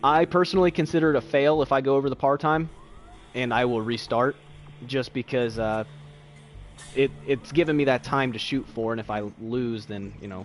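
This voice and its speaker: A man's medium-pitched voice at a fairly quick pace with long, frequent pauses and ordinary pitch variation, music playing behind. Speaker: video game streamer. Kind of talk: live gameplay commentary. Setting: livestream with chat. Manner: fast.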